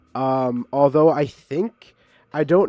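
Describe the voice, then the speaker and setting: With music playing in the background, a man speaks in a fairly high voice with lively intonation. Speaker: streamer. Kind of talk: casual chat. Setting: live stream. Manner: loud.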